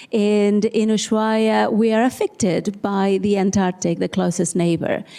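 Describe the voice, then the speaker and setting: A woman of medium pitch speaks at a fairly slow pace with fairly even intonation and a dark, mellow tone. The recording is very clean, with a silent background. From Argentina, Tierra del Fuego. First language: Spanish. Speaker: social scientist. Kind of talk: panel discussion.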